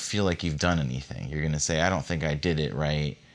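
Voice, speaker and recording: A man with a very deep, low pitch speaks on a very clean recording against a silent background. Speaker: meditation guide and podcast host. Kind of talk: guided meditation plus casual chat. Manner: calm, soothing, heartfelt.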